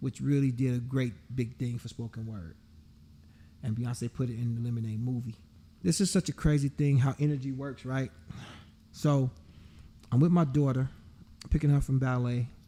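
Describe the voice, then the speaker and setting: In a very clean recording with a silent background, a man with an American accent speaks in a dark, mellow, somewhat breathy tone at a moderate pace with long, frequent pauses. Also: medium pitch for a man, ordinary pitch variation. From Chicago. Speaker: songwriter and spoken word artist. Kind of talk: podcast interview. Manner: smooth and chill, with pregnant pauses.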